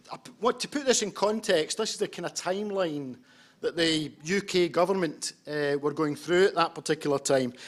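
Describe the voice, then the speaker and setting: A high-pitched man with a strong Scottish accent and lively intonation. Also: moderate pace. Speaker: homeless services practitioner. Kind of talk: conference presentation. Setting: conference with interpreters. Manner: hesitant, with fillers and repetitions.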